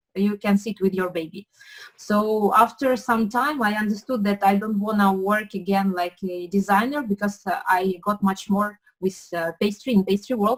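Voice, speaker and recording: A woman with a Ukrainian accent speaks at a moderate pace in a medium pitch. Her voice is somewhat breathy, with fairly even intonation. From Ukraine. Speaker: pastry chef. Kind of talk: interview. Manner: halting, many fillers.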